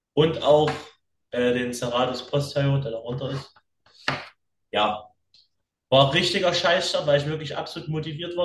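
A man talks at a moderate pace in a fairly high voice that is somewhat breathy. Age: young. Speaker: fitness podcast co-host. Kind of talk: casual chat. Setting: video call.

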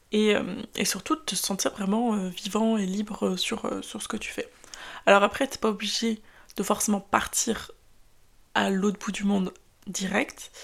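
Somewhat breathy and medium in pitch, a woman speaks at a fairly slow pace with long, frequent pauses. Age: 20s. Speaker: podcast host. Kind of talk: casual monologue. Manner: hesitant, many fillers.

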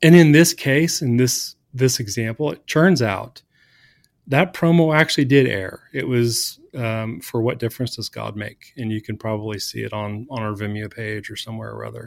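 A man with an American accent and medium pitch talks in a plain, everyday voice at a moderate pace, with ordinary pitch variation and big swings in loudness, on a very clean recording with a silent background. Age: 40s. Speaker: church design director. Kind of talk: interview.

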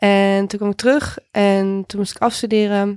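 A very clean recording with a silent background, a dry, close sound with no echo, and monotone, flat intonation. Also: woman. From Netherlands, Houten near Utrecht. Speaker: DJ and music journalist. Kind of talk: podcast interview. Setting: studio.

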